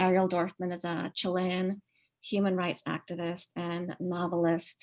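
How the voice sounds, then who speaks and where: Her voice sits at a fairly low pitch for a woman. The woman speaks at a fairly slow pace with monotone, flat intonation. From Uruguay, then Maryland in high school. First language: Spanish. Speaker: professor. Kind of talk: online lecture. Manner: many filler words (um, uh).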